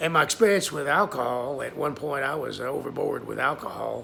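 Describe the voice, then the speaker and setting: A voice with vocal fry, moving at a moderate pace. The tone is bright and sharp. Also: man. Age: 70s. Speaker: self-published author and vlogger. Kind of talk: casual personal video monologue. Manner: hesitant, with many filler words.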